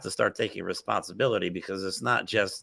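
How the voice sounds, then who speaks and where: Loud and at a fairly quick pace, a man with an American accent speaks in a very deep, low pitch. His tone is bright and sharp, with vocal fry. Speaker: political talk show host. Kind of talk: casual political discussion. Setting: office. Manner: animated.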